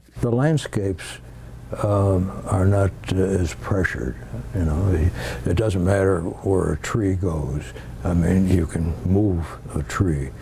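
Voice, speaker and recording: Over noticeable background noise, a man with a very deep, low voice talks at a very slow pace, with ordinary pitch variation and long, frequent pauses. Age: 90s. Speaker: painter. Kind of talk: interview. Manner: hesitant.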